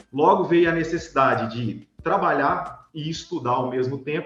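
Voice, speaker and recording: A fairly high-pitched man's voice with audible room echo. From Brazil, Minas Gerais (Vale do Jequitinhonha, then Belo Horizonte). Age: 30s. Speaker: business owner. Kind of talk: interview.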